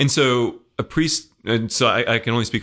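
A man with an American accent speaks in a bright, sharp tone against a quiet background. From Belgium and Germany, US military family. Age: young. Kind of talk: interview on a radio fundraiser.

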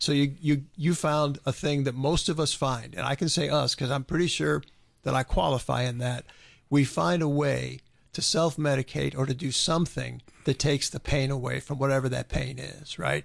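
This man's voice is fairly high in pitch, with ordinary pitch variation. He keeps a moderate pace in a normal speaking voice. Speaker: radio host. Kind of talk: prayer. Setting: studio.

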